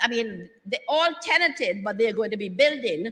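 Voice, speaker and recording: This voice is raised and projected. The pitch swings very widely up and down. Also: woman. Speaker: government minister / political speaker. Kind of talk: rousing political rally speech. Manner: rousing, energetic, emphatic.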